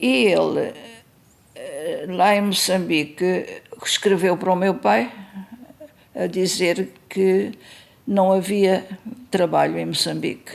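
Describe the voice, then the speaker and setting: A woman at a very slow pace with long, frequent pauses, over noticeable background noise. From Mozambique (Maputo, then Beira). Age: 80s+. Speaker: interviewee recounting family church history. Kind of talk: oral history interview. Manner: hesitant, with fillers.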